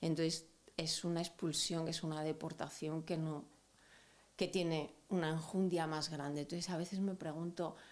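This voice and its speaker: A woman speaks at a fairly slow pace in a monotone, flat intonation. She leaves long, frequent pauses. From Andalusia, Spain (Almería). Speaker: activist. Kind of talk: interview. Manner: hesitant, reflective.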